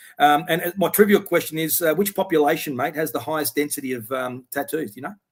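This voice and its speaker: A man talks at a very fast pace. He has an Australian accent and ordinary pitch variation. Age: 60s. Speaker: interview guest. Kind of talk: casual chat. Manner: halting.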